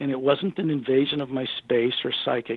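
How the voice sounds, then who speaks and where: A man with a fairly high pitch and a normal speaking voice, at a moderate pace. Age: 60s. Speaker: author and researcher on extraterrestrials. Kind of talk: radio interview.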